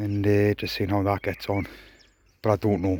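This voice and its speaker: A man speaks quietly and at a fairly quick pace with a British accent, over noticeable background noise. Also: dry, close sound with no echo. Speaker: allotment gardener vlogger. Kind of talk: casual vlog. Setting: outdoors.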